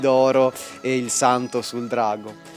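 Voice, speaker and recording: A Venetian accent over music in the background. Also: man. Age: young. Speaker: illustrator. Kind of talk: interview answer.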